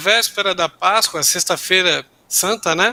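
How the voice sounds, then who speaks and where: The voice is raised and projected, with a bright, sharp tone. The pace is fairly slow. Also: man. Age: 50s. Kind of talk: panel discussion.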